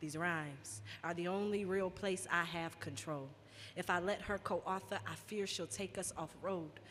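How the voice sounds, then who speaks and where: Vocal fry marks the fairly low-pitched voice of a woman. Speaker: spoken word poet. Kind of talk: live spoken word poetry performance. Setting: live stage event.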